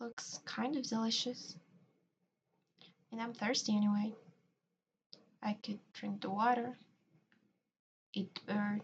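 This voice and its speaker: A woman speaks at a fairly slow pace in a fairly high, somewhat breathy voice, with monotone, flat intonation and long, frequent pauses. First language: Spanish. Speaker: video artist. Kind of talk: casual chat.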